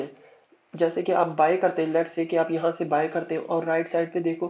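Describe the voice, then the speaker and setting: A man with a high pitch. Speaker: forex trader and trading educator. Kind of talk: tutorial. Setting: screen-recorded voice commentary over charts. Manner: code-switching between Urdu and English; halting, with fillers and self-corrections.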